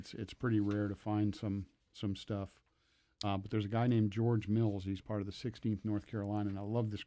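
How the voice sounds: What you hear is a natural reading voice.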